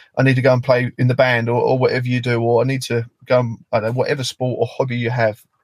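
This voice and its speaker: The speaker has a British accent and a somewhat breathy voice. Delivery is very fast and monotone, with flat intonation and hardly any pauses. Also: man, medium pitch for a man. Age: 30s. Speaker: construction worker and charity founder. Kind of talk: interview.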